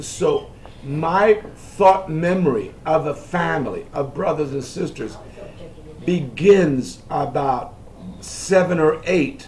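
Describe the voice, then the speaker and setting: A man's fairly high voice at a very slow pace, ordinary pitch variation, audible room echo and noticeable background noise. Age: 70s. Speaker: family elder recounting history. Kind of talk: family oral history interview.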